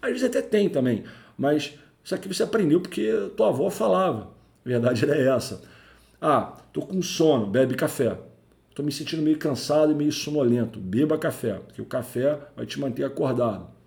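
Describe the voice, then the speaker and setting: A man with a fairly high pitch speaks at a moderate pace, with vocal fry and lively intonation. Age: 40s. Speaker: IT career podcaster, network engineer. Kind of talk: solo educational podcast monologue. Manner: conversational, with fillers.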